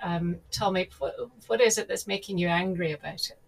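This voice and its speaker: Speaking in a medium register, the woman has a slightly breathy quality. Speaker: podcast host. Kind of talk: casual interview.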